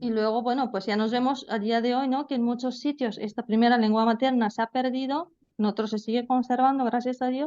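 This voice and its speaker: A woman's high-pitched voice at a fairly quick pace, with fairly even intonation and hardly any pauses. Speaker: language teacher. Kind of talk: lecture. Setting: video call.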